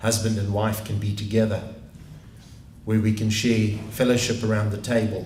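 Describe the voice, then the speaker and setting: With a fairly low pitch and a moderate pace, a man talks as room echo comes through audibly. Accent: South African. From South Africa. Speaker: pastor. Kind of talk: prayer.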